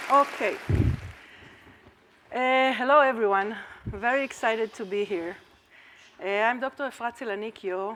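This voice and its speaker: This woman has an Israeli accent and a bright, sharp tone, pitched fairly high with ordinary pitch variation. She keeps a moderate pace broken by long, frequent pauses. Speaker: academic researcher presenting at a conference. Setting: conference talk.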